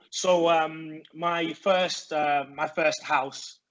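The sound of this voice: Very slow and fairly high-pitched, a man speaks with a fairly bright tone and fairly even intonation.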